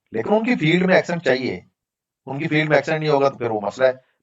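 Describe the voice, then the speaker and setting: Lively intonation marks a man's speech, which sits at a fairly high pitch. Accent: Pakistani. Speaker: data analytics trainer. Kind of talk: online class Q&A.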